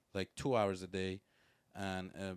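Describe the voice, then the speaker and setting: A man speaks in a Persian accent at a fairly slow pace. His pitch sits fairly low. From Iran. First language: Persian (Farsi). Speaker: music producer and rapper. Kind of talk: casual podcast interview. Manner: halting, with many fillers.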